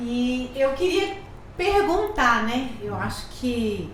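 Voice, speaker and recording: A woman with a high voice speaks with lively intonation, her words carrying audible room echo over noticeable background noise. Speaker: podcast host. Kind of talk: podcast interview. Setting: studio. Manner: deliberately slow, measured pace.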